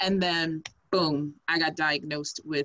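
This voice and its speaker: The surroundings are quiet. A woman's voice comes through. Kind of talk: lecture. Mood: earnest, personal. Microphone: video call.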